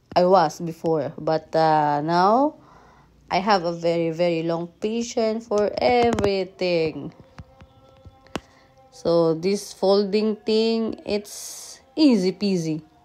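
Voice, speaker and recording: Music plays behind a woman with a fairly low pitch. She speaks very slowly, with lively intonation. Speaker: vlogger. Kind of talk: casual vlog chat. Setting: at home.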